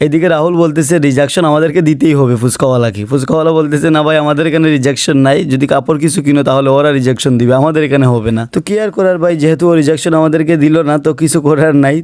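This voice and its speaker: A man's unremarkable speaking voice, fairly high in pitch, with very even loudness. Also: ordinary pitch variation. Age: 20s. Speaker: vlogger. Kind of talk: casual vlog narration.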